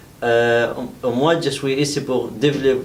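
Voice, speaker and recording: A man's very slow speech with fairly even intonation, audible room echo and noticeable background noise. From Iraq. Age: 30s. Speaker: adult French language trainee. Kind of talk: self-introduction speaking exercise. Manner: halting with hesitations.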